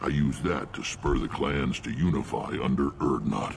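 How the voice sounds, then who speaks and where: A man speaks at a moderate pace in a put-on character voice with a very deep, low pitch, and background noise is clearly heard. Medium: video game. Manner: gruff, blunt.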